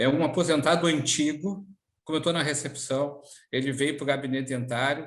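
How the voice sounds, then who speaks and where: In a room with audible echo, a man talks at a moderate pace at a fairly high pitch with fairly even intonation. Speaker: public servants' union leader. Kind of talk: interview. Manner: hesitant, many fillers.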